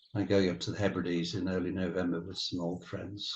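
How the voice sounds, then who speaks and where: In a very deep, low voice, a man speaks at a fairly quick pace, somewhat breathy and in a flat monotone. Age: 70s. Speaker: retired wildlife cameraman. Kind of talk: interview. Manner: halting.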